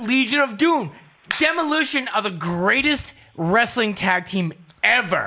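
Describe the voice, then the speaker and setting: A man with an American accent speaks in a raised, projected voice at a high pitch, making very wide pitch swings at a fairly slow pace. Noticeable background noise runs underneath. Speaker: podcast co-host. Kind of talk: casual, joking banter.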